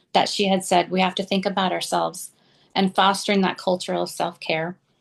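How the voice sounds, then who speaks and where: A woman's unremarkable speaking voice at a moderate pace, over a quiet background. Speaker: preschool director. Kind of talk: conference panel presentation. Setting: conference session.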